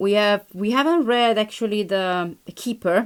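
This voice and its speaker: At a very slow pace, a woman talks in a medium pitch with ordinary pitch variation, in a very clean recording with a silent background. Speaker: tarot reader. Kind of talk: tarot reading. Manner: halting.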